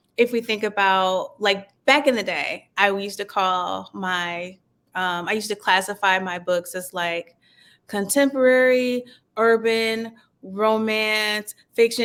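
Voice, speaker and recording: A woman with a normal speaking voice talks at medium pitch with ordinary pitch variation. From US Midwest, Cleveland, Ohio. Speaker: author and publisher. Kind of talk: interview conversation.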